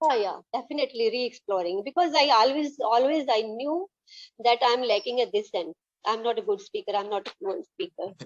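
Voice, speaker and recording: Speaking at a fairly quick pace in a Punjabi Indian accent, this voice makes very wide pitch swings, recorded with a dry, close sound and no echo. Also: woman, high pitch for a woman. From Punjab, India. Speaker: English learner. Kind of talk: casual chat. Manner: halting.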